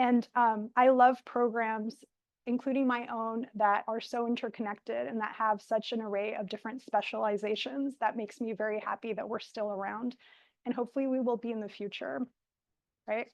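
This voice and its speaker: Moderate pace, fairly even intonation, and a quiet background. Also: woman, fairly high pitch for a woman. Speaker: professor. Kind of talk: lecture. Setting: lecture hall with audience and Zoom. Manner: projecting while standing.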